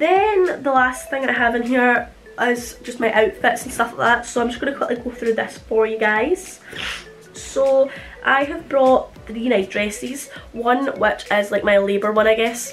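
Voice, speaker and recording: Over music in the background, a woman speaks with a high pitch and ordinary pitch variation in a Scottish accent. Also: fairly slow pace. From Scotland. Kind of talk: casual talk to camera. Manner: chatty, informal.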